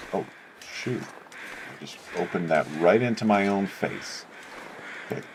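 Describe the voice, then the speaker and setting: A man speaks at a fairly low pitch with ordinary pitch variation, big swings in loudness and long, frequent pauses, over noticeable background noise. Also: fairly slow pace. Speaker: gaming video creator. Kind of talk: let's play commentary. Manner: casual, hesitant with many fillers.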